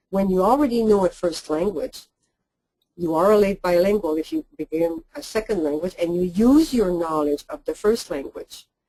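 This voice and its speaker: With a Quebec accent, a woman speaks at a moderate pace in a medium pitch, her tone dark and mellow and her intonation lively. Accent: French-Canadian accent in English. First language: French. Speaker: linguist. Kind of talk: lecture. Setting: webinar.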